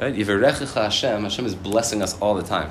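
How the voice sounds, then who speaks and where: The speaker has an American accent, and the recording carries noticeable background noise along with audible room echo. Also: man. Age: 30s. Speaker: rabbi. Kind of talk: sermon.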